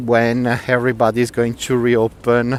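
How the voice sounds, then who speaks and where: At a moderate pace, a man with an Italian accent speaks at medium pitch. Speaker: tour guide. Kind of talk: live walking tour commentary. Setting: outdoors. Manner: loud.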